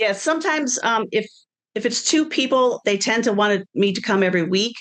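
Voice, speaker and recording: In a normal speaking voice, a woman with an American accent talks at a fairly high pitch. Her pace is fairly quick and her intonation lively. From Wisconsin. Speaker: personal chef and business owner. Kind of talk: interview. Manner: casual conversational.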